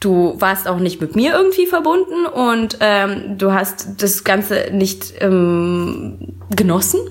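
A woman at a very slow pace, with very even loudness and hardly any pauses. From Bavaria, with Russian family background. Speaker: coach. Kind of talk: casual chat.

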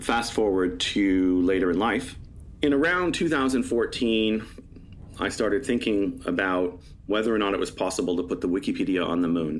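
A man's voice with very even loudness, fairly low pitch, ordinary pitch variation and a moderate pace, an ordinary speaking voice. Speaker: lunar librarian, space project founder. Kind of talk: interview, storytelling.

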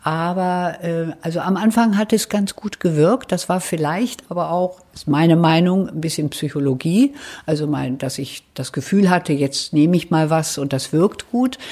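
Hardly pausing at all, a woman talks in a dark, mellow tone. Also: fairly low pitch for a woman, ordinary pitch variation, moderate pace. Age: 70s. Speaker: patient interviewee. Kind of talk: interview. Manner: hesitant with fillers.

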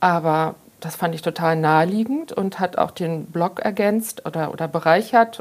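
In a normal speaking voice, a woman talks at a fairly low pitch with ordinary pitch variation. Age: 50s. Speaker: pharmacist and journalist, author. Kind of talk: casual interview.

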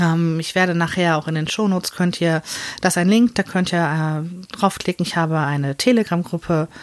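Her pitch fairly low with ordinary variation, a woman speaks at a moderate pace. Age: 30s. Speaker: podcaster. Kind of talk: personal monologue. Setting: small room in front of open wardrobe. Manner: hesitant, many fillers.

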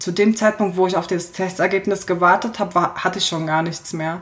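Over music in the background, a woman speaks at a medium pitch in a monotone, flat way. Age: 20s. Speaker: fashion and lifestyle blogger. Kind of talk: casual chat.

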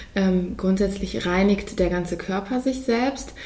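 A woman's medium-pitched voice moves fairly slowly with ordinary pitch variation, set against noticeable background noise. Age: 30s. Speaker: physician. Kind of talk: interview.

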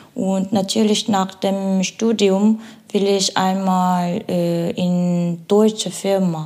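A woman with a Korean accent speaks at a very slow pace. Her medium pitch carries monotone, flat intonation. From South Korea, Seoul. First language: Korean (speaking German). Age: 20s. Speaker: international student. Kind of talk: interview. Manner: halting, searching for words.

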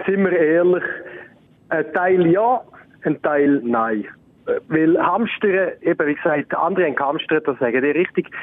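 A man with a high pitch and a Swiss accent speaks at a fairly slow pace with long, frequent pauses. His intonation is lively, and his loudness stays very even. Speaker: recurring guest, friend of the hosts. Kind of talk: casual chat.

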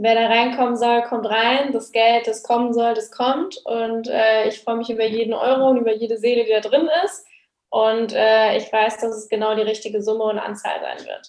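A woman uses a normal speaking voice at a fairly high pitch. She keeps a moderate pace and fairly even intonation. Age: 20s. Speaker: online business coach. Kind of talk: casual interview.

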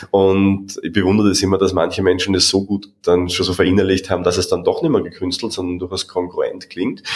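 With an Austrian accent, a man with a very deep, low pitch talks at a fairly quick pace in a monotone, flat intonation, with hardly any pauses. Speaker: podcast host and coach. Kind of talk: interview.

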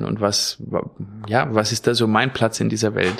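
A man's fairly low-pitched voice with vocal fry. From Mecklenburg, northeastern Germany. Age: 30s. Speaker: kindergarten teacher and dog trainer. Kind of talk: casual conversation, personal faith story.

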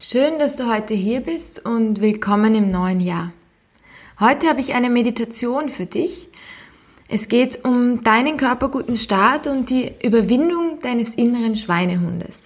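A woman speaks at a fairly slow pace in a high voice, her intonation lively and her tone warm and playful. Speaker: podcast host, psychologist and sport scientist. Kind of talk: guided meditation, calm and soothing, addressing listener as 'du'. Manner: slow, soft-spoken, gentle and unhurried with long pauses; warm, encouraging, playful imagery.

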